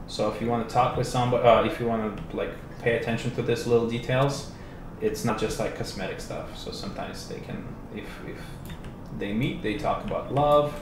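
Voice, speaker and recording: Noticeable noise sits behind the speech, and the room echoes audibly. The voice belongs to a man. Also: medium pitch for a man, fairly even intonation, fairly quick pace. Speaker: game developer. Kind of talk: livestream game demo. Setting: live stream. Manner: casual.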